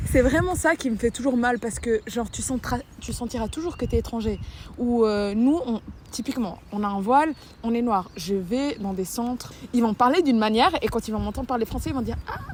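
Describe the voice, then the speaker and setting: A woman's fairly high, normal speaking voice at a fairly quick pace. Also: ordinary pitch variation. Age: 20s. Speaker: documentary interviewee. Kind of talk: interview.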